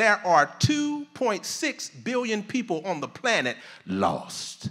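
A man speaks in a raised, projected voice against a quiet background. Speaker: preacher. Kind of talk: sermon. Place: hall. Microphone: handheld.

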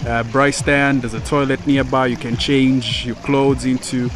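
A man's monotone, flat delivery, dry with no echo, over noticeable background noise. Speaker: vlogger touring a resort. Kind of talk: casual vlog chat. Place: waterside. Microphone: phone near.

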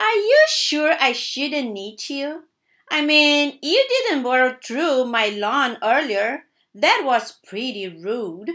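In a very clean recording with a silent background, a woman uses a high-pitched, put-on character voice at a very slow pace. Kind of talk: children's story read-aloud. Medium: read story. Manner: demanding. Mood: suspicious, grumbling.

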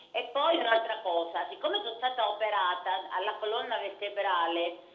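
The speaker keeps a moderate pace with ordinary pitch variation amid noticeable background noise. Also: woman, fairly high pitch for a woman. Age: 70s. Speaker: caller, wheelchair user. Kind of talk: phone-in question. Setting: phone call. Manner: halting.

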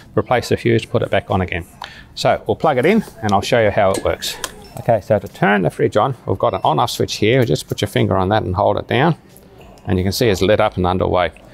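Music plays in the background as a man talks at a very fast pace. His pitch is fairly low, with ordinary variation. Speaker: product demonstrator. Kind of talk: product demonstration. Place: shop.

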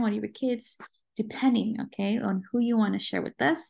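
A woman speaks in a dark, mellow, somewhat breathy tone with ordinary pitch variation. The background is quiet. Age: 20s. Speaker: Spanish language teacher. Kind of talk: recorded class lecture. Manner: slow, repetitive and clear.

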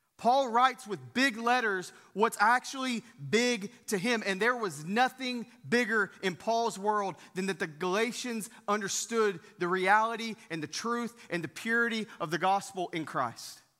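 Against a quiet background, a man speaks in a raised, projected voice with a bright, sharp tone, a fairly slow pace and ordinary pitch variation. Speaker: pastor. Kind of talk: sermon. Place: church.

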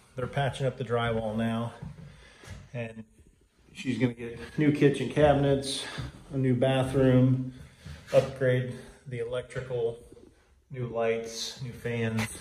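A man speaks at a slow pace and a medium pitch, with little pitch movement, long and frequent pauses, a slightly mellow tone, and audible room echo.

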